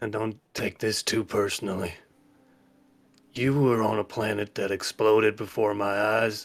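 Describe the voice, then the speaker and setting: In a put-on character voice, a man sounds raspy and fairly low-pitched, talking at a moderate pace with monotone, flat intonation. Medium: actual play. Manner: wary, dry.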